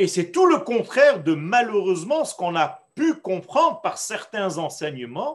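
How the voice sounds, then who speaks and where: Speaking very slowly with a Hebrew accent, a man uses a high pitch and very wide pitch swings. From Israel. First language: Hebrew (speaking French). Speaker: rabbi teaching Torah class. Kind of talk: lecture. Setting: online class on video call.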